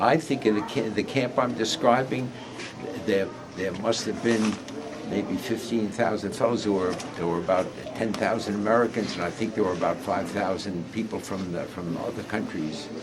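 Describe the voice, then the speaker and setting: The speaker has a New York accent, ordinary pitch variation and a moderate pace. Audible room echo and noticeable background noise are present. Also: man, fairly low pitch for a man. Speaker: war veteran. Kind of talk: interview. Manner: halting.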